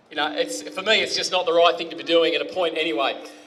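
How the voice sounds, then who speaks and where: A man speaks loudly in a high voice with an Australian accent. Noticeable background noise sits behind him. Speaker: speaker at a community rally. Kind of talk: public speech.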